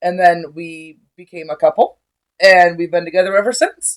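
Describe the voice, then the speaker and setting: Delivered at a moderate pace in a normal speaking voice. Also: woman. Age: 30s. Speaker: podcast co-host. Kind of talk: casual chat. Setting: at home.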